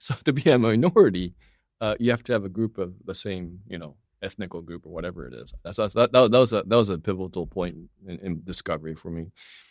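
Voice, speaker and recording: On a very clean recording with a silent background, a man with an American accent talks at a very fast pace in a very deep, low voice. His intonation is lively, and his loudness swings widely. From Texas, US (raised from fourth grade; Japanese-born). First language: Japanese. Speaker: impact investor. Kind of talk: interview conversation. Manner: repetitive filler words, casual.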